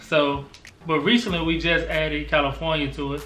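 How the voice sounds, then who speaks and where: Speaking at a fairly quick pace, a man with an American accent and a fairly high pitch is heard with audible room echo and light background noise. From US South. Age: 20s. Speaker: family vlogger. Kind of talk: casual chat.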